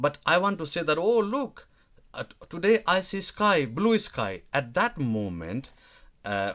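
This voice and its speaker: In a Nepali accent, the speaker moves at a fairly slow pace with very wide pitch swings. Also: man. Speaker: language teacher. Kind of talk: live online lesson. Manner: halting, many fillers.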